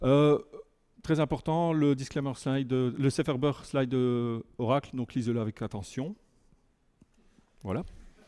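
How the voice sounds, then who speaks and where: A man with a northern French accent, medium pitch and ordinary pitch variation, a dark, mellow tone, a fairly slow pace and long, frequent pauses. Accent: relatively French, from Lille border area. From Belgium, near Lille border. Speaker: tech conference speaker, software engineer. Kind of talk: technical talk. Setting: meetup room with audience. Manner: halting, many hesitations.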